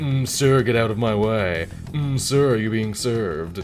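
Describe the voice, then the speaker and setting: A man uses a put-on character voice at a medium pitch. He talks at a moderate pace over clear background noise. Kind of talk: mock-polite. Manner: passive-aggressive, snide, falsely polite.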